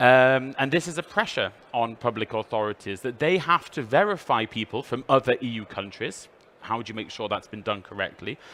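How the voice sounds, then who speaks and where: A man speaks in a British accent with lively intonation. His tone is bright and sharp. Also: medium pitch for a man, fairly quick pace. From United Kingdom. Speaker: EU official presenter. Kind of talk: trade fair presentation. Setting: trade fair stand with passing audience.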